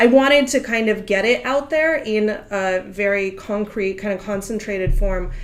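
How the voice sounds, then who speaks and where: A woman with a Russian accent talks at a moderate pace, with hardly any pauses. Her pitch is fairly high with ordinary variation, and there is noticeable background noise. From Russia, Moscow. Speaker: literary agent. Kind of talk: interview.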